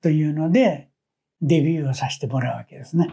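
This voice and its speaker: A man speaks in a fairly high pitch for a man, his dark, mellow tone somewhat breathy. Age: 70s. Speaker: petal artist. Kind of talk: interview.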